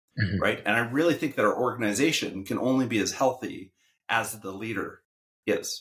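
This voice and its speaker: A man speaks in a normal speaking voice with a Canadian accent. His pitch is medium and his pace fairly quick. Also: ordinary pitch variation. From Saskatchewan, Canadian prairies. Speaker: podcast co-host and educator. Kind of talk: casual chat.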